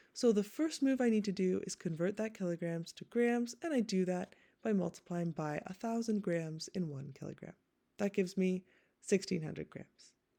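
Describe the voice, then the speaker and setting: A woman's dark, mellow voice of medium pitch, with lively intonation at a moderate pace. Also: big swings in loudness. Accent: Canadian. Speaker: teacher. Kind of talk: tutorial.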